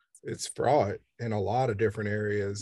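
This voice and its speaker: A man with an American accent speaks at a fairly slow pace in a fairly low, somewhat breathy, monotone voice, with a dry, close sound, no echo and a quiet background. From Kansas City, Kansas, US Midwest. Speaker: photographer. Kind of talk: interview. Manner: hesitant, with fillers.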